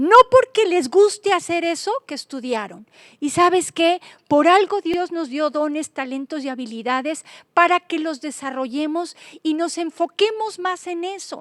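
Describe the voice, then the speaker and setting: Speaking at a fairly slow pace, a woman with an extremely high pitch uses an animated tone and lively intonation, her loudness swinging widely, in a dry, close sound with no echo. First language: Swiss German (speaking Spanish). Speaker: Bible teacher and author. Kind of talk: Bible study teaching.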